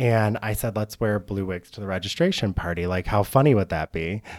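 A man's ordinary speaking voice, fairly low in pitch, with an American accent, moderate pace and ordinary pitch variation, in a dry, close sound with no echo and a silent background on a very clean recording. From Michigan, east side near Detroit. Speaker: optical store owner. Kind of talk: casual interview. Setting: studio.

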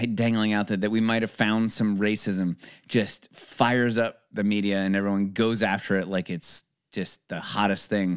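On a very clean recording with a silent background, a man speaks at medium pitch and a fairly slow pace. His is a plain, everyday voice, heard dry and close with no echo. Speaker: podcast co-host. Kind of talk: casual chat.

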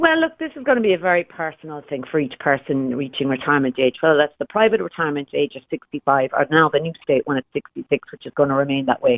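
A woman's very deep, low voice in an Irish accent, very fast, with big swings in loudness and ordinary pitch variation. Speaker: pensions broker. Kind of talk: radio interview. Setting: phone call.

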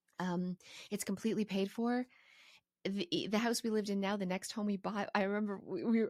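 An unremarkable speaking voice moves at a fairly quick pace with fairly even intonation, recorded very cleanly against a silent background. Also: woman. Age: 40s. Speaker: podcast host. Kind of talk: solo podcast monologue. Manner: casual, conversational.

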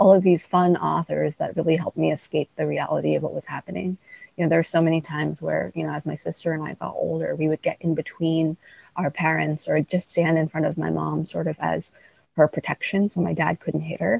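In a New York accent, a woman talks at a fairly quick pace with a dry, close sound and no echo. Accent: New York American. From Queens, New York. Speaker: writer and guest. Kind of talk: interview conversation.

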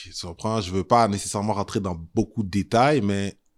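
Heard dry and close with no echo, a normal speaking voice moves at a moderate pace with ordinary pitch variation. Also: man, very clean recording, silent background. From Montreal, Quebec (Saint-Michel). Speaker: historian and tour guide. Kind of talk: casual interview.

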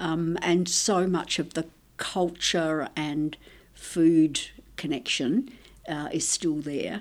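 A very slow delivery with an Australian accent. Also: woman, fairly low pitch for a woman, ordinary pitch variation. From Italy (Tuscany), raised in Australia. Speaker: nutrition research scientist. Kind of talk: interview. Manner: halting.

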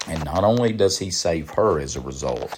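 A man with a Southern US accent speaks at a fairly slow pace in a very deep, low voice, with lively intonation. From Kannapolis, North Carolina (US South). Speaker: pastor. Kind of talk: sermon.

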